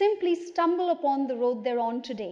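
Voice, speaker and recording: In a high voice, a woman talks at a moderate pace with lively intonation. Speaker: talk show host. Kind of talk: talk show introduction.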